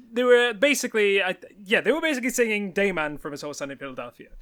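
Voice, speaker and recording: A man's raised, projected voice, bright and sharp in tone, with very wide pitch swings on a very clean recording with a silent background. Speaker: video game podcast host. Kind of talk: casual chat. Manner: hesitant, many fillers.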